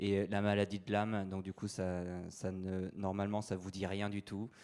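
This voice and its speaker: In a very clean recording with a silent background, a man speaks at a fairly slow pace with a fairly low pitch and monotone, flat intonation. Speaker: priest giving a talk. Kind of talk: lecture. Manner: halting, many fillers.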